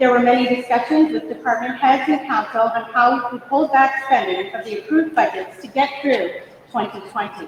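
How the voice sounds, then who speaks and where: Loud and at a fairly quick pace, a woman speaks in a high voice with very wide pitch swings, over noticeable background noise and audible room echo. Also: hardly any pauses. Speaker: town manager. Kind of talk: formal report to council. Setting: council meeting with audience. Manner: formal.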